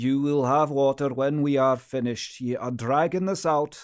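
A man talks in a normal speaking voice. His pitch is fairly high, and his pace is fairly slow. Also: very clean recording, silent background. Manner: stern, cold, clipped interrogator; hushed, tense, haunted first-person narration.

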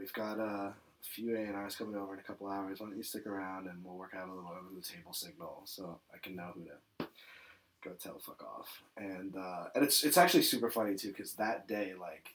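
With an ordinary speaking voice, a man talks at a fairly quick pace, fairly low in pitch and fairly even in intonation, with big swings in loudness. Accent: American. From New York City. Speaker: music supervisor. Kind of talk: casual chat. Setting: in person in Brooklyn.

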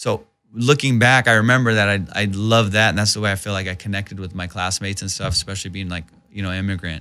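A very fast man with a Southern California accent, fairly low pitch, fairly even intonation and a bright, sharp tone. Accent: general American (Southern California). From Iran, raised in Southern California. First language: Persian (Farsi). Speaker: stand-up comedian and actor. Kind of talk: casual interview chat. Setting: studio. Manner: casual, informal, profane.

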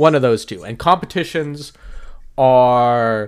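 Recorded very cleanly against a silent background, a man with a medium pitch and ordinary pitch variation speaks at a very slow pace. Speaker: podcast host. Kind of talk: casual chat. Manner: jokey, talkative.

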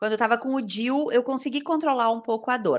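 The pitch of this woman's voice sits high. Her recording is very clean, and the background is silent. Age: 40s. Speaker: journalist. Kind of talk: casual chat.

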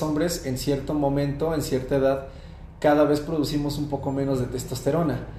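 Speech comes at a moderate pace amid noticeable background noise and audible room echo. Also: man. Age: 20s. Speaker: fitness coach. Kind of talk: interview.

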